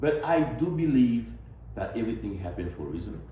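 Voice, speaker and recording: At a moderate pace, a man speaks with a strong Haitian accent amid audible room echo. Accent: Haitian, heavy. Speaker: politician, physician. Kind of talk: campaign speech to town hall audience.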